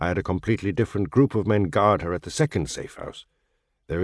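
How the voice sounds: Heard over a quiet background, a natural reading voice carries ordinary pitch variation.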